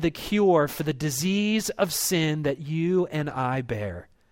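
A man speaks with an American accent and ordinary pitch variation. The recording is very clean with a silent background. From US, Baltimore, Maryland. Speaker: pastor. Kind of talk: sermon. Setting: church.

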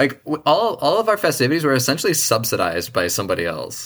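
In an American accent, a man speaks at a very fast pace. His pitch swings very widely, with vocal fry. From US Northeast (Boston). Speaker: engineer and biologist. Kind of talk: casual chat.

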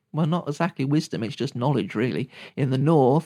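The recording is very clean, with a silent background. The speaker has a British accent. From Britain. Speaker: podcast host and shamanic teacher. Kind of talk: solo teaching talk.

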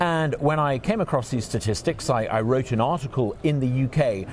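At a moderate pace, a man speaks with a British accent. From England. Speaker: think tank president, former politician. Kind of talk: interview. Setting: conference venue.

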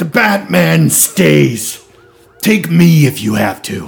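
A man does a raspy, put-on character voice at medium pitch. He talks at a very slow pace with very wide pitch swings. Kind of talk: defiant, dramatic.

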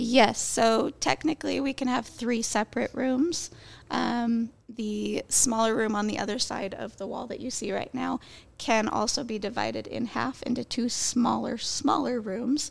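A woman's fairly high voice with vocal fry, a fairly slow pace and ordinary pitch variation. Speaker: restaurant event coordinator. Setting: on location at a restaurant.

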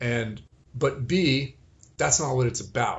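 Somewhat breathy, a man at medium pitch talks at a moderate pace. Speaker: movement and strength coach. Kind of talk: casual chat. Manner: halting.

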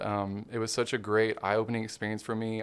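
Speaking fairly quickly with a Southern US accent, a man keeps a monotone, flat intonation at a fairly low pitch in a very clean recording with a silent background. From Arkansas, Hot Springs. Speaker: dentist. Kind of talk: casual interview. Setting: studio.

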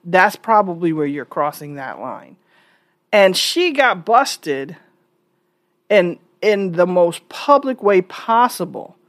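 With an American accent, a woman at a medium pitch speaks at a very slow pace with lively intonation, big swings in loudness and long, frequent pauses, in a very clean recording with a silent background. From New York. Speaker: podcast host. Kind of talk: solo opinion monologue.

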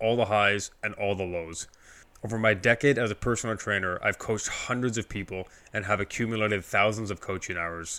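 A man with a Canadian accent speaks at a fairly quick pace in a fairly low pitch, his tone bright and sharp and his intonation fairly even, on a very clean recording with a silent background. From Canada, Toronto area (Scarborough, Ontario). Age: 30s. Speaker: fitness coach and podcaster. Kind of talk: solo monologue. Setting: alone in an empty room.

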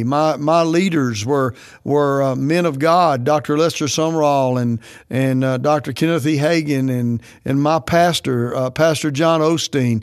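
In a quiet background, a man with a normal speaking voice talks fairly slowly at a fairly high pitch, with ordinary pitch variation. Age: 60s. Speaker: pastor. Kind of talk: podcast teaching talk.

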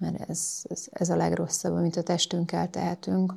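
In a very clean recording with a silent background, a woman speaks at a moderate pace in a calm tone that is dark and mellow. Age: 40s. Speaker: yoga instructor and masseuse. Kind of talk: interview.

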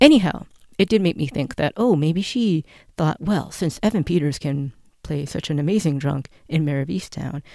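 In a very clean recording with a silent background, a woman with a Canadian accent talks at a moderate pace in a very deep, low pitch with ordinary pitch variation. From Canada. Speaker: podcast host and actress. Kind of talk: solo podcast monologue, film commentary.

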